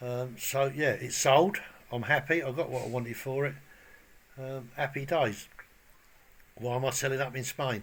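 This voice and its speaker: A man with a medium pitch speaks with fairly even intonation and a somewhat breathy voice. He takes long, frequent pauses. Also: moderate pace. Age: 60s. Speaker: bricklayer vlogger. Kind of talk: casual vlog chat and tutorial. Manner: casual, hesitant with many ums.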